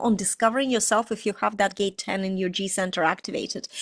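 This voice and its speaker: A woman speaks in an animated tone. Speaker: astrology and human design coach. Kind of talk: online tutorial talk. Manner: fast.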